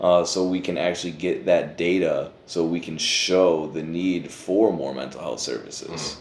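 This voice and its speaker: A man talks with hardly any pauses, noticeable background noise behind him. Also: moderate pace. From Pontiac, Michigan. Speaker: formerly incarcerated behavioral health worker. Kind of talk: interview answer. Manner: casual, conversational.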